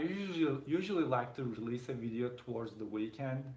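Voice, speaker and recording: A man speaks with a non-native accent at a medium pitch. Audible room echo is present. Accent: noticeable foreign. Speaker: tech reviewer and YouTuber. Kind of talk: casual chat. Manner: halting, repeats words.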